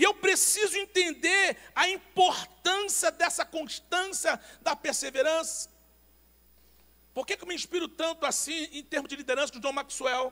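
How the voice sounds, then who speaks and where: With a raised, projected voice and big swings in loudness, a man speaks at a fairly slow pace in an extremely high pitch, bright, sharp tone and ordinary pitch variation. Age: 50s. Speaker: pastor. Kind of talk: sermon.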